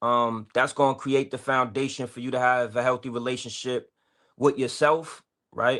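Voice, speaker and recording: A man with an American accent speaks at a moderate pace in a medium pitch, his bright, sharp tone delivered in a flat monotone over a very clean recording with a silent background. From Boston. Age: 40s. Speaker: exoneree and advocate. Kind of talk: podcast interview.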